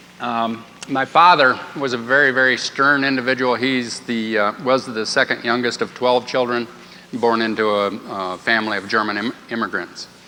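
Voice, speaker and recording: A man with a Midwestern US accent over noticeable background noise. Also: medium pitch for a man, fairly even intonation, moderate pace. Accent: US Midwest. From Iowa, US Midwest. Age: 50s. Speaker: course participant sharing his story. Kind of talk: testimony.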